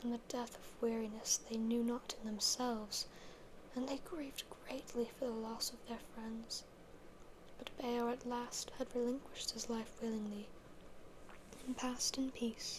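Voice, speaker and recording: Fairly slow speech, broken by long and frequent pauses, plays out against clearly audible background noise. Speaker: ASMR creator reading fantasy literature. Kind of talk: ASMR reading of book passages and commentary. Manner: soft, intimate, rambling.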